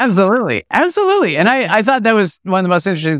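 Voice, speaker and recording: Very fast male speech with very wide pitch swings on a very clean recording with a silent background. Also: dry, close sound with no echo. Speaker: podcast host and leadership coach. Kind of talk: podcast interview.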